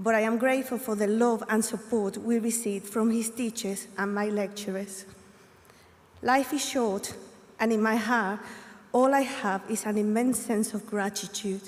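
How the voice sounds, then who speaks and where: Speaking with a Spanish accent, a woman uses a fairly high pitch and monotone, flat intonation at a moderate pace. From Colombia. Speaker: graduating student. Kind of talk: graduation speech.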